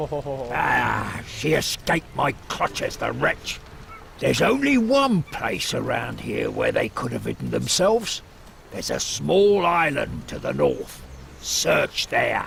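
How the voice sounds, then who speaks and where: A man uses a gruff, put-on character voice at a fairly slow pace. Clear background noise can be heard. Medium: video game. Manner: gruff, suspicious.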